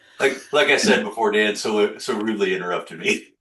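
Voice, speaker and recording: The speaker is a man with an American accent. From Arizona, US. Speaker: podcast host. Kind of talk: casual interview.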